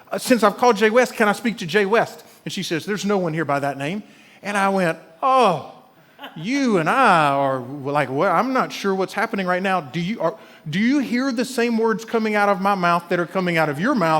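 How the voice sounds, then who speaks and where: A man with an Alabama accent talks at a fairly quick pace in a high pitch, with an animated tone and lively intonation. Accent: Southern US (Alabama). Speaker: pastor. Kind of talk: sermon. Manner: animated storytelling.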